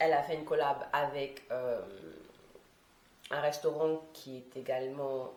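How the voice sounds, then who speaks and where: A woman speaks at a fairly slow pace with a very deep, low pitch. Noticeable background noise and audible room echo fill the recording. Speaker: vlogger. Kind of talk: vlog monologue. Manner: casual, filler-heavy.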